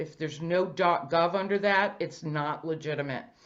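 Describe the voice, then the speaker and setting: This is an ordinary speaking voice with an American accent. Its intonation stays fairly even. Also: woman. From Boston. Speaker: financial industry presenter. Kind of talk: presentation. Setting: virtual event.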